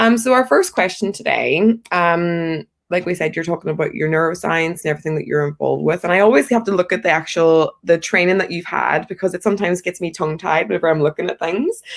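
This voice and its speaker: A woman with an Irish accent talks very fast with hardly any pauses, her fairly low voice showing vocal fry and ordinary pitch variation. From Ireland. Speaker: podcast host. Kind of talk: interview.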